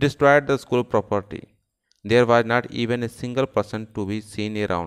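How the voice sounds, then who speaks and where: A man with an Indian accent talks at a moderate pace and medium pitch with ordinary pitch variation, the sound dry and close with no echo against a quiet background. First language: Hindi. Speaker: teacher. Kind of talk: lecture; dramatic narration. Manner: animated.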